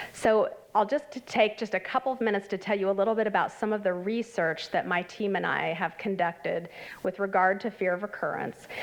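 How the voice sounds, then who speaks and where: Talking at a fairly quick pace, a woman uses a normal speaking voice at medium pitch with ordinary pitch variation. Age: 50s. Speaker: clinical health psychologist presenting at a conference. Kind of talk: conference presentation. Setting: conference workshop with live audience. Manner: conversational with many fillers.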